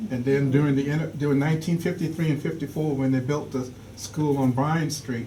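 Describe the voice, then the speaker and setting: Someone with an American accent speaks at a moderate pace with fairly even intonation. Room echo is audible. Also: man. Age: 70s. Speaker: audience member. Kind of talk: public Q&A.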